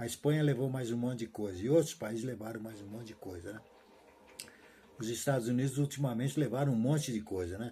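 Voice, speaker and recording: A somewhat breathy voice with a dark, mellow tone moves at a fairly quick pace with ordinary pitch variation over a very clean recording and a silent background. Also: man. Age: 70s. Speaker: retired teacher vlogger. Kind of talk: casual monologue vlog. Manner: halting, repetitive.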